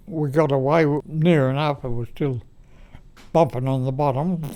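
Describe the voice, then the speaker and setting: A man's intonation remains fairly even. His voice is pitched fairly high. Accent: Australian. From Australia. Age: 90s. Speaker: war veteran. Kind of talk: interview answer. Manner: hesitant, halting.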